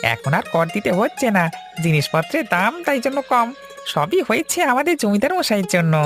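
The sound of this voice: Using a cartoonish character voice, a man speaks fairly quickly at a high pitch with very wide pitch swings while clear music plays in the background.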